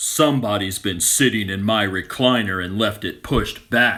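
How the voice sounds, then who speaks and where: In a growling put-on character voice, a man speaks at a fairly low pitch in a very clean recording with a silent background. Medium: read story.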